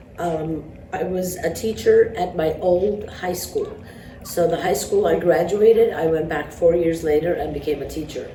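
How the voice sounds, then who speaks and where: In an Armenian accent, a woman speaks at a moderate pace with a fairly low pitch and fairly even intonation, with audible room echo and noticeable background noise. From New York. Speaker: math teacher. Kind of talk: interview. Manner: hesitant, many fillers.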